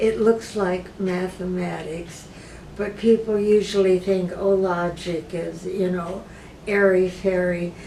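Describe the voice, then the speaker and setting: Amid noticeable background noise and audible room echo, a woman with an American accent speaks at medium pitch and a fairly slow pace, with fairly even intonation. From US Midwest, Michigan. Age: 80s+. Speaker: patient and retired philosophy professor. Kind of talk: interview. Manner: halting, many fillers.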